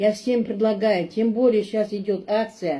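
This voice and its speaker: Fairly slow and fairly even in intonation, the voice carries a dark, mellow tone. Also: woman. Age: 60s. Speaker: customer giving product testimonial. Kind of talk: testimony. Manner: halting, with many fillers.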